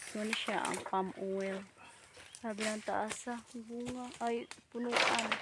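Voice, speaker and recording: With a Bisaya accent, a woman speaks at a very slow pace in a fairly high pitch with monotone, flat intonation over noticeable background noise. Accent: Bisaya-tinged Tagalog. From Bohol, Philippines. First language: Cebuano (Bisaya) (speaking Tagalog). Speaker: vlogger. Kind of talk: casual vlog narration. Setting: outdoors in the countryside. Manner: halting.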